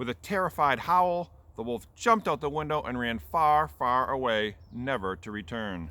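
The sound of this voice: The speaker uses an unforced reading voice, and the intonation is lively.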